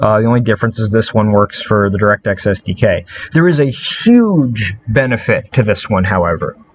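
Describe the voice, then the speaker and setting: Over noticeable background noise, a man speaks at a moderate pace with hardly any pauses. His pitch varies in an ordinary way. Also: medium pitch for a man. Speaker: video game modding tutorial creator. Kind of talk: screen-recorded tutorial. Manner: hesitant, many fillers.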